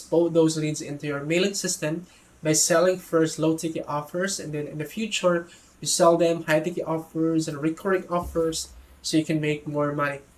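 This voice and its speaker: A man's monotone, flat delivery in a non-native accent. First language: not English. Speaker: product reviewer. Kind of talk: product review tutorial. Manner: hesitant, self-correcting.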